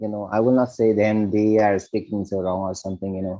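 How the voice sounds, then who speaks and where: Quiet surroundings frame a man with a fairly low pitch. His tone is dark and mellow. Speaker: Buddhist monk and meditation teacher. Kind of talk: podcast interview. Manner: halting, many fillers.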